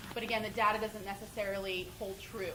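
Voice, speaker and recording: Noticeable background noise and audible room echo accompany a woman who speaks at a very fast pace. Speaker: homeless services outreach director. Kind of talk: public meeting Q&A. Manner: loud.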